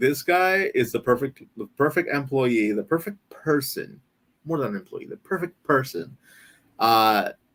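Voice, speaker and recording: The speaker has a non-native accent. Intonation is lively and the pace moderate. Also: man. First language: not English. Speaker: live stream co-host. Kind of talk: casual chat. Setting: live stream.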